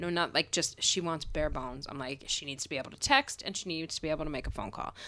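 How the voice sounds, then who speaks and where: A woman with an American accent, fairly low in pitch, bright and sharp in tone, talking at a very fast pace. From Pennsylvania. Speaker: podcast co-host. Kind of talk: casual chat. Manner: uneven volume.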